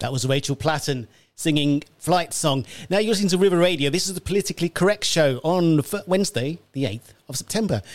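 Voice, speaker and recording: A plain, everyday voice talks at a fairly quick pace with lively intonation, in a dry, close sound with no echo. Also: man, fairly high pitch for a man. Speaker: radio host. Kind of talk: radio presenting and interviewing. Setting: radio studio.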